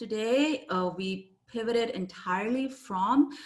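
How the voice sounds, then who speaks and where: Lively intonation runs through this woman's speech, delivered with a non-native accent. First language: not English. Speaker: copywriter and business owner. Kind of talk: interview.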